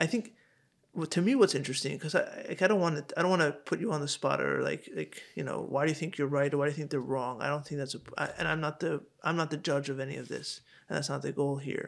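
Vocal fry marks very fast speech with ordinary pitch variation. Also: man, fairly high pitch for a man. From Hong Kong. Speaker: podcast host. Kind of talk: casual interview. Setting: in-person recording in Crown Heights. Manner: halting, many repeated words.

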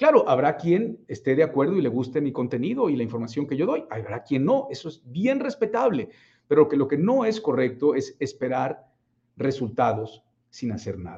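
At a moderate pace, a man with a fairly high pitch, a dark, mellow tone and a somewhat breathy sound speaks with very wide pitch swings. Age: 40s. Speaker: business coach. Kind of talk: livestream talk. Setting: live stream.

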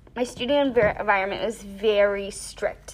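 A woman is speaking. Her pace is fairly slow. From US, raised in Thailand and Georgia. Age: 20s. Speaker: dance and English teacher. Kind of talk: casual interview.

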